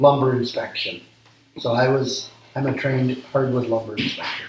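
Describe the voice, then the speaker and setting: In an American accent, a man speaks at a moderate pace and medium pitch with monotone, flat intonation. Audible room echo and noticeable background noise are present. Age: 60s. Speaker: small business owner. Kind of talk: interview. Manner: halting, frequent ums.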